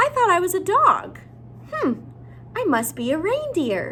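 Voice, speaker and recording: Amid clear background noise, an extremely high put-on character voice swings very widely in pitch at a moderate pace. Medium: read story.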